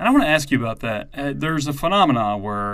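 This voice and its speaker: Very fast speech from a man at medium pitch with lively intonation. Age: 30s. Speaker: podcast host. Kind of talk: casual chat.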